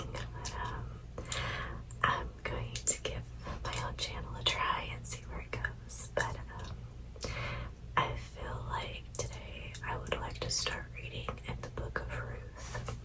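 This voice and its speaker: Soft-spoken and very slow, the voice sits over noticeable background noise. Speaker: ASMR creator. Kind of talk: casual talk to camera.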